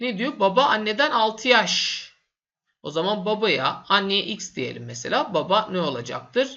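A man with a high pitch and very wide pitch swings speaks in a raised, projected voice. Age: 30s. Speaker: math teacher. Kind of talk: tutorial. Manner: casual, with fillers.

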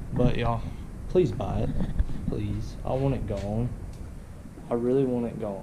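Noticeable background noise runs under a man's voice. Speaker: vlogger. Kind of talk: casual vlog chat. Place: garage. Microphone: phone near.

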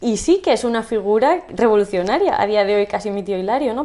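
A woman speaks with ordinary pitch variation. Her pace is fairly quick. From Spain, La Mancha (Campo de Criptana); La Mancha, Spain. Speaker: journalist and writer; interviewee. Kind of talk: interview conversation. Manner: halting, repetitive. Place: home room. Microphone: camera far.

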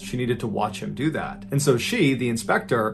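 Noticeable background noise accompanies a man speaking at a fairly quick pace. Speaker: storyteller host. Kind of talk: narrative storytelling.

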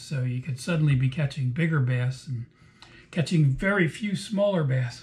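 A somewhat breathy man's voice with ordinary pitch variation. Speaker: fishing guide. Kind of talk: casual vlog chat. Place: home room. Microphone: webcam.

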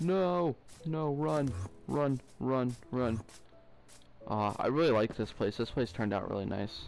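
The speech comes at a fairly slow pace with very wide pitch swings. Music plays in the background. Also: man. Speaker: gaming youtuber. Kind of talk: gameplay commentary. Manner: animated.

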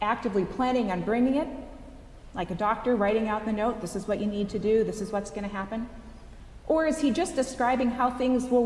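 A woman at a fairly quick pace, ordinary pitch variation, and audible echo from the room. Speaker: associate priest. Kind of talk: sermon. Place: church.

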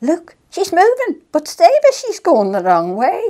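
Speaking at a fairly slow pace in a Manx accent, a woman uses an extremely high pitch with very wide swings and a dark, mellow tone. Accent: Manx, rural Maughold.

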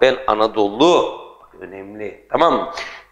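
A man against a quiet background. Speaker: teacher. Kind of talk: lecture. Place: classroom.

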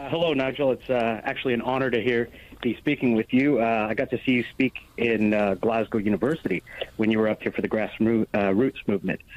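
In an American accent, a man with an unremarkable speaking voice talks at a fairly quick pace and medium pitch with ordinary pitch variation, the sound dry and close with no echo. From United States. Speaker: caller. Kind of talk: phone-in call. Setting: phone call.

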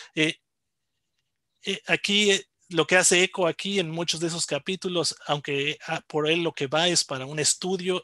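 Man's fairly high voice with a bright, sharp tone at a fairly slow pace, dry sound with no echo, quiet background. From Mexico. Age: 40s. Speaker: comics scholar and professor; comics scholar, professor. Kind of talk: lecture. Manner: halting. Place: home room. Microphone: video call.

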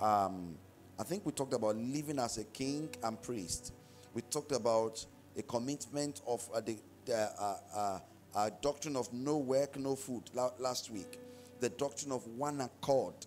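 Faint music plays in the background. Over it, a man talks with ordinary pitch variation. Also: moderate pace. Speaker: pastor. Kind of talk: sermon. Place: church. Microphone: handheld.

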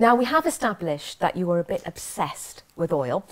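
A woman with a fairly low pitch speaks at a moderate pace.

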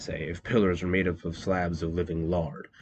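A man's voice, very deep and low in pitch. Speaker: audiobook narrator. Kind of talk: scripted audiobook narration of cosmic horror fiction, first person; dramatic narration, hushed and ominous, building dread toward an eldritch vision.

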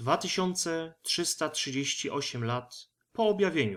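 A man's intonation is lively even as he talks very slowly. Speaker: audiobook narrator. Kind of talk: sci-fi short story audiobook reading.

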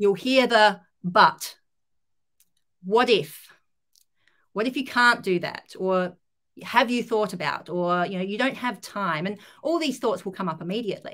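At a fairly slow pace, a woman speaks at medium pitch with lively intonation. She takes long, frequent pauses against a quiet background. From Australia. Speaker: life coach; coach being interviewed. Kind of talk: live video interview. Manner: halting, many fillers. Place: home room.

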